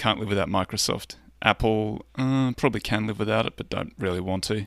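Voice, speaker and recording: A man with a normal speaking voice talks at a fairly quick pace in a fairly low pitch and fairly even intonation. The recording is very clean, with a silent background. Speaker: podcast host. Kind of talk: casual chat about investing. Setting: live stream.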